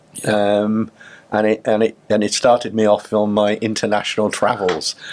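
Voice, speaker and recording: Fairly low male voice, flat and monotone, at a moderate pace with very even loudness. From South Wales, Cardiff. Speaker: chief executive of training organisation. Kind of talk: podcast interview.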